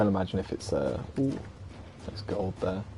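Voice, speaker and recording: Over music in the background, a man with a British accent talks at a fairly quick pace in a very deep, low pitch. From UK. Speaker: video game streamer. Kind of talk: casual chat. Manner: casual, with fillers.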